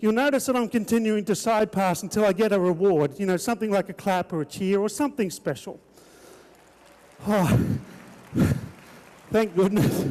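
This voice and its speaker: Talking at a moderate pace with long, frequent pauses, a man with an Australian accent has a high pitch and ordinary pitch variation. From Australia, Queensland. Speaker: horseman and entertainer. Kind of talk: live arena show commentary. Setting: arena with live audience. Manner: animated, showman.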